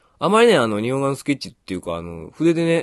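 Dry and close with no echo, a man's voice races at a very fast pace through very wide pitch swings. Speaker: painting tutor and shop owner. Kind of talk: tutorial. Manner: casual.

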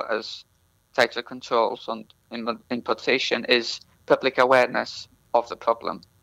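Moderately paced speech from a man, the background quiet. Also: dry, close sound with no echo. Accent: Welsh. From North Wales. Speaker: PhD researcher in plant science. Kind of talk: interview.

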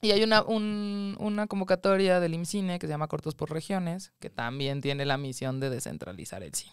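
Over a quiet background, a woman talks at a moderate pace and medium pitch. Her voice makes very wide pitch swings in a dry sound with no echo. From Mexico City. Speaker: documentary film producer; guest. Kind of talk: interview; interview answer. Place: studio. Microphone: studio mic.

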